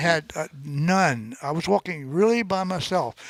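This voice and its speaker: Speaking at a fairly slow pace, a man with a high pitch uses lively intonation, the sound dry and close with no echo. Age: 80s+. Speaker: adventurer, long-distance hiker and paddler. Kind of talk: podcast interview answer. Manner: laid-back.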